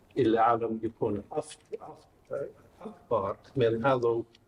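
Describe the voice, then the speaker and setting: A man talks with fairly even intonation and a slight Maghrebi accent. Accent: non-native Arabic with slight Maghrebi. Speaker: academic researcher. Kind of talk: academic talk.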